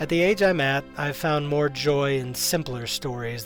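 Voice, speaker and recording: Music plays in the background behind a man's voice. He has a fairly high pitch and a moderate pace. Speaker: YouTube documentary maker. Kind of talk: documentary narration.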